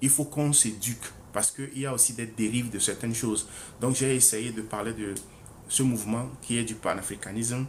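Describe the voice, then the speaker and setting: Audible room echo surrounds a man whose somewhat breathy voice moves at a fairly quick pace with fairly even intonation. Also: medium pitch for a man. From Togo. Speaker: author presenting his book. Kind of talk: book presentation livestream. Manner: hesitant, many fillers and repetitions.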